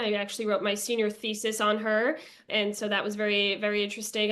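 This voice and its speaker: Over a quiet background, a woman with a fairly high pitch and a bright, sharp tone speaks at a fairly quick pace in a monotone, flat intonation. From Long Island, New York. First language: Bulgarian. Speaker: political strategist. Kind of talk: interview.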